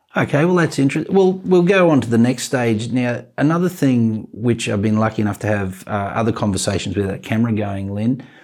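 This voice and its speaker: Fairly quick, lively speech from a man with an Australian accent, medium pitch and hardly any pauses. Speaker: podcast host. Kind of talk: casual chat. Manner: animated.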